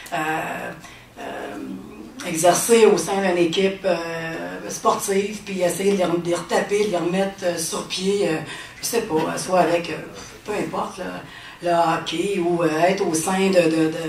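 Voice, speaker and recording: A woman at a fairly low pitch and a fairly slow pace, with fairly even intonation and long, frequent pauses, amid noticeable background noise and audible room echo. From Quebec City. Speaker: testimony speaker. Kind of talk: testimony. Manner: halting, many fillers.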